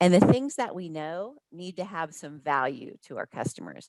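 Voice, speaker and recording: A woman talks at a moderate pace with fairly low pitch and lively intonation, in a normal speaking voice. The sound is dry and close, with no echo. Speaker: hospitality sales trainer. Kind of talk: webinar presentation.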